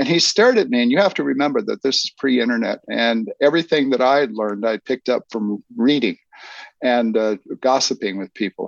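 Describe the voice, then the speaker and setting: A man with a plain, everyday voice speaks at a medium pitch with lively intonation, recorded dry and close with no echo against a quiet background. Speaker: film historian and author. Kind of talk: casual interview chat.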